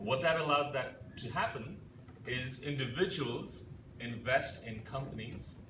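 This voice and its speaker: There is audible room echo and noticeable background noise as a man talks at a medium pitch with ordinary pitch variation. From India. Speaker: company CEO. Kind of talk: keynote speech.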